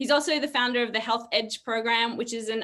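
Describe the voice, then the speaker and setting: Loud and very fast, a woman talks with a high pitch and a bright, sharp tone. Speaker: wellness show co-host. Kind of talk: live video call chat.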